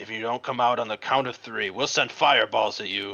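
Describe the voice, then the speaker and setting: Putting on a raspy character voice, a man talks at a medium pitch and a fairly quick pace with fairly even intonation. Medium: read story. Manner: blustering.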